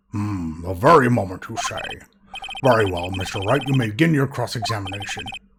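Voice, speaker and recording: Using a put-on character voice at a medium pitch, a man speaks at a fairly quick pace with lively intonation. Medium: game stream. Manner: formal, measured.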